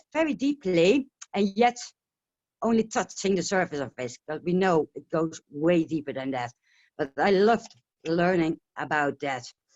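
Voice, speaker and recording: A woman with a Dutch accent, at a moderate pace, with very wide pitch swings. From Netherlands. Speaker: essential oil distributor. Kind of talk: casual interview on webinar. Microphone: connection breaking up.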